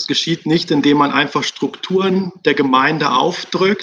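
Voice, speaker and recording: A man speaks at a fairly slow pace with fairly high pitch and ordinary pitch variation. He has a plain, everyday voice. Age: 30s. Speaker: pastor. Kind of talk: casual interview.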